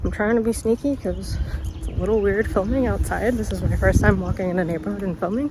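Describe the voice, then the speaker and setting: A woman speaks in a room with audible echo. Noticeable background noise can be heard as well. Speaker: book vlogger. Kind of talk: casual vlog. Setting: outdoors. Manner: casual, filler-heavy.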